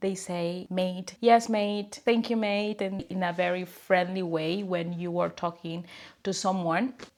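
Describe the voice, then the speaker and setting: The speaker is a woman with a Spanish accent. Her pitch sits in the medium range. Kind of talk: casual talk to camera. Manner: switches between English and Spanish.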